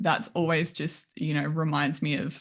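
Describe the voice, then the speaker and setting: A woman with an Australian accent. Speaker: functional nutritionist. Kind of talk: interview.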